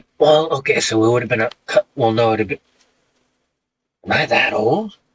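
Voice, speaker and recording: Using a put-on character voice, a man speaks raspily at a moderate pace and a medium pitch. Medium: actual play. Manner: rambling, hesitant.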